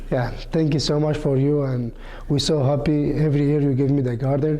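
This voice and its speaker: A man with a Kurdish accent speaks at a fairly quick pace in a monotone, flat intonation and very even loudness. Room echo is audible. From Iraq. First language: Kurmanji. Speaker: community gardener. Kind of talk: interview. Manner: halting.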